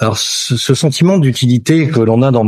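A man's somewhat breathy voice in a very clean recording with a silent background. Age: 50s. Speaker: insurance broker. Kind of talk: interview.

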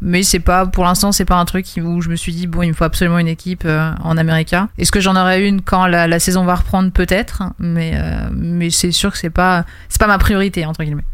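A woman's fairly low, monotone voice with flat intonation, fairly quick in pace, over noticeable background noise. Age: 20s. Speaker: streamer and fantasy football card manager. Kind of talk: casual interview.

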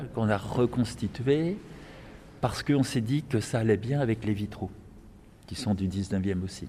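The voice belongs to a man with a medium pitch. Its tone is dark and mellow. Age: 70s. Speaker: retired parish priest. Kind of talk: guided tour. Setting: on site in a church. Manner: halting.

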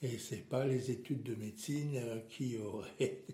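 Very slow male speech at a medium pitch, with fairly even intonation. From Alsace, France. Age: 70s. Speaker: retiree sharing life story. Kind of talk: interview, life story. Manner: halting, with many repetitions.

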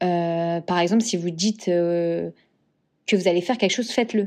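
A woman with a medium pitch and a dark, mellow tone talks at a moderate pace with ordinary pitch variation. She leaves long, frequent pauses against a quiet background. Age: 30s. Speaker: podcast host. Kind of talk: solo motivational podcast monologue. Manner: hesitant, many fillers and repetitions.

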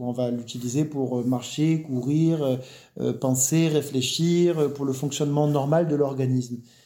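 With audible room echo, a man talks fairly slowly in a dark, mellow tone. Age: 40s. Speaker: naturopath. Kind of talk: interview.

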